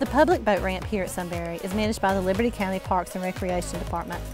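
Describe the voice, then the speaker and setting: Very fast speech from a woman with an American accent, music in the background. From Southeast Georgia, USA. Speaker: real estate agent. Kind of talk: real estate video tour narration.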